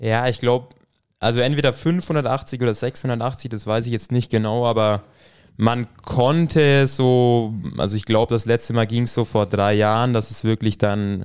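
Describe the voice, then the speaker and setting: A man speaks in a plain, everyday voice at a medium pitch. His pace is fairly slow and his intonation fairly even. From Franconia, Bavaria (village near Thalmässing). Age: 20s. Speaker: triathlete. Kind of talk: casual interview. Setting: home podcast studio.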